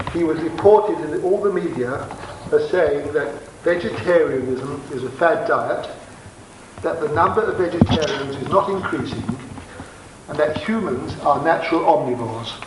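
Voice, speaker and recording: Noticeable background noise and audible room echo accompany a high-pitched man whose pitch varies in an ordinary way. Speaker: doctor giving a lecture. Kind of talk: lecture. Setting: festival lecture hall with audience. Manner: fast; partly reading aloud.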